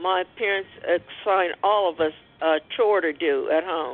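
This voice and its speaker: In a plain, everyday voice, a woman speaks at a fairly low pitch. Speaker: caller. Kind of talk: testimony, religious.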